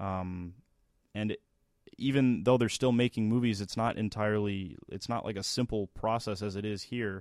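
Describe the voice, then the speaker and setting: A man with an ordinary speaking voice talks at a moderate pace and a fairly low pitch. His intonation is fairly even, and the recording is very clean with a silent background. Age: 20s. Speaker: radio podcast co-host. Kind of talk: casual chat and interview; news segment.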